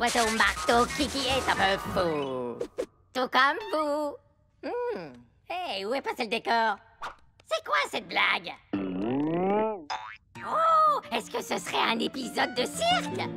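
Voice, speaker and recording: A cartoonish character voice at a fairly high pitch comes with long, frequent pauses. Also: fairly slow pace. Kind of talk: cartoon comic voice acting. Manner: brash, comic.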